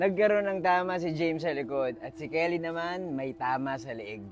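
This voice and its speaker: The man's voice sits at a fairly high pitch. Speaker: storytime vlogger. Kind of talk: ghost story telling, on-location true-crime storytime. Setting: outdoors at a park tower. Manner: casual, chatty, Taglish vlogger style.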